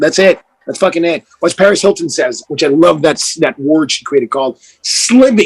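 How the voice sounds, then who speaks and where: Intonation rises and falls in a lively way. The sound is dry and close, without any echo. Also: man, high pitch for a man. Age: 40s. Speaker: life coach. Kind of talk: podcast interview. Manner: fast; enthusiastic.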